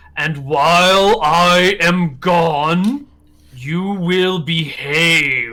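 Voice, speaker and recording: A man performs a put-on character voice, pitched high and delivered extremely slowly. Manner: loud, commanding.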